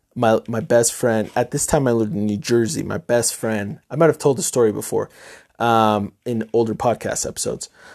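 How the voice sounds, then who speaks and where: In a very clean recording with a silent background, a man speaks with an American accent in an unremarkable speaking voice. His pitch is medium, with ordinary variation, and his pace is moderate. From upstate New York. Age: 20s. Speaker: podcast host. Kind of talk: casual monologue.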